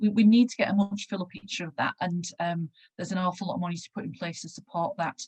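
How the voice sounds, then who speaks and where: A somewhat breathy woman speaks at a fairly quick pace with fairly even intonation. The sound is dry and close, with no echo. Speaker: panel speaker on patient involvement in research. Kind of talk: conference presentation. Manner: fast.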